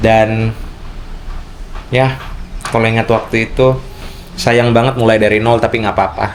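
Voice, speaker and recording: A man at a medium pitch and moderate pace, with noticeable background noise. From Indonesia, outside Papua. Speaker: vlogger. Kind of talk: casual vlog talk. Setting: room at home.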